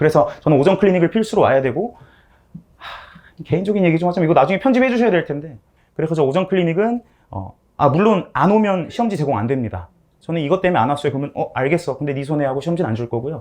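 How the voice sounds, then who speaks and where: A man at a fairly high pitch, very fast pace and lively intonation. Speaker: math academy teacher. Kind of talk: class info session presentation.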